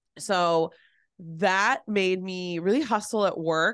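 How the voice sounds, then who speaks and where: Against a quiet background, a woman speaks in an animated tone. Her pitch sits fairly low. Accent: Californian. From San Francisco Bay Area. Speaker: business coach. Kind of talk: casual interview.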